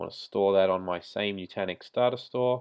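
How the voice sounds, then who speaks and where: An Australian accent marks this man's speech. His pitch is fairly low, with ordinary pitch variation. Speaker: IT tutorial creator. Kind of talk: screen-recorded tech tutorial. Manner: casual, conversational.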